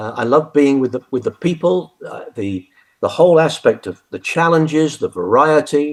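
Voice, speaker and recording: Speaking with a British accent, a man uses a fairly high pitch. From UK. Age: 70s. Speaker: retired army general. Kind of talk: interview. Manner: halting, many fillers and restarts.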